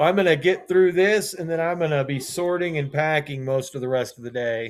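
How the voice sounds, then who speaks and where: A man talks fairly quickly in an unremarkable speaking voice. His pitch is fairly high, with ordinary variation. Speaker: live sales streamer for trading cards. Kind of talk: live selling stream.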